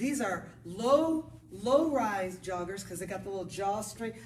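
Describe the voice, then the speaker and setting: An animated tone and a fairly quick pace come through with audible room echo. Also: woman. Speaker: yoga teacher. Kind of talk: casual chat to camera before a yoga class. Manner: loud. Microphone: no microphone, camera mic.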